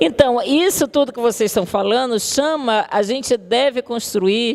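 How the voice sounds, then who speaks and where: Over noticeable background noise, a woman with a São Luís accent speaks at a fairly high pitch. Her intonation is lively and her pace fairly slow. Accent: São Luís (Maranhão). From Brazil, São Luís do Maranhão. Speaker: communication professor. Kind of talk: lecture. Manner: conversational, addresses audience directly.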